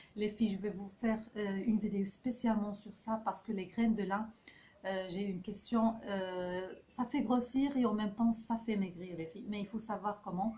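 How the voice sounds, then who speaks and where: Her intonation fairly even, a woman speaks at a moderate pace in a medium pitch. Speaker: health and beauty vlogger. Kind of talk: casual recipe vlog talk. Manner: hesitant, many fillers.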